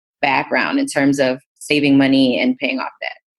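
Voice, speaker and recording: A woman speaks with an American accent. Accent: New York, sometimes. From Queens, New York City. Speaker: entrepreneur and investing educator. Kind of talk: podcast interview.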